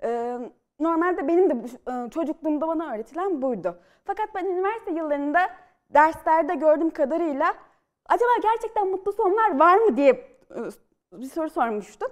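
Over a quiet background, a woman talks at a moderate pace with an extremely high pitch, very wide pitch swings and big swings in loudness. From Central Anatolia, Turkey (Polatlı, Ankara); Central Anatolia, Turkey. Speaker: novelist and screenwriter; guest. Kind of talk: studio interview. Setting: TV studio. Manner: lively; hesitant with fillers. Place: studio. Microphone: lapel.

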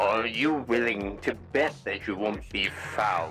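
A man's put-on character voice, fairly low in pitch and fairly slow in pace, with sound effects and clear music in the background. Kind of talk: in-character voice trolling in a social VR game.

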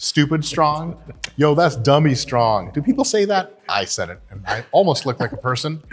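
A man's somewhat breathy voice at a moderate pace, with big swings in loudness. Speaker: gym host, coach. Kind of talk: casual vlog chat. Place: gym.

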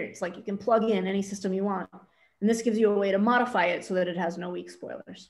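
Very fast speech from a woman at medium pitch, with fairly even intonation. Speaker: math professor. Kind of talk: lecture. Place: home room. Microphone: webcam.

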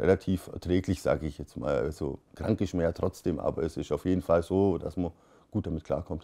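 A man speaks with a very deep, low pitch and ordinary pitch variation. He moves at a fairly quick pace over a quiet background. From Germany, Swabia (Beuren); Germany. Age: 30s. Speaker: cannabis patient. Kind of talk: interview testimony. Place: home room.

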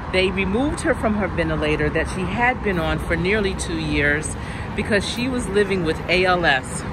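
A woman's voice, dry with no echo, amid loud background noise. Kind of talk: personal storytelling vlog narration. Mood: emotional, reflective, grieving. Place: garden. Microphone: phone near.

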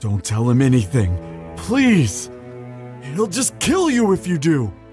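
Putting on a character voice at a medium pitch, a man speaks over clear music in the background. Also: fairly slow pace. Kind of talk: audio roleplay. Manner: desperate.

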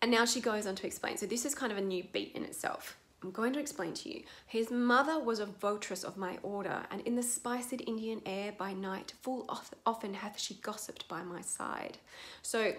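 A woman's voice at a moderate pace, with ordinary pitch variation. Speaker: acting coach. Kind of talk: tutorial. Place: home room. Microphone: webcam.

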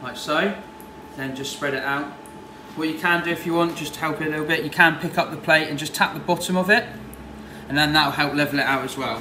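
Noticeable background noise runs behind the speech. A man talks at a fairly quick pace with fairly even intonation. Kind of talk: tutorial. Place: kitchen. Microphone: camera far.

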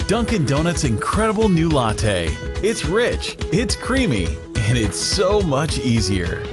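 A man with an American accent at a fairly slow pace, clear music in the background. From United States. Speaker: voice actor. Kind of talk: TV commercial read. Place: booth.

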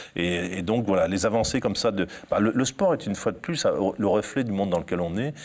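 Speaking at a moderate pace, the voice shows ordinary pitch variation. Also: man, fairly low pitch for a man. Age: 50s. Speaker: sports journalist and author; sports journalist. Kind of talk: interview. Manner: halting with frequent word repetitions. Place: studio. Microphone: lapel.

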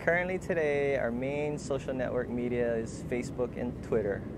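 A man speaks with ordinary pitch variation in a dry sound with no echo, over noticeable background noise. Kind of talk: interview answer. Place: street.

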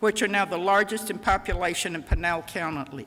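A woman speaks in a bright, sharp tone at a fairly quick pace. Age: 80s+. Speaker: retired county planner speaking at public comment. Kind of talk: public comment at council meeting. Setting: town council meeting chamber.

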